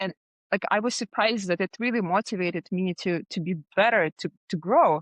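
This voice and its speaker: Moderate pace and ordinary pitch variation over a quiet background. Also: woman. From Russia. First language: Russian. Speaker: design agency founder. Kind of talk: podcast interview.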